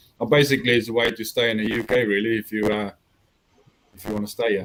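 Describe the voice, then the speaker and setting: A man rattles along at a very fast pace in a monotone, flat intonation at medium pitch. His loudness swings widely. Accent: strong South African. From South Africa. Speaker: army veteran and Star Wars extra. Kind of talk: interview chat. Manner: hesitant, many fillers.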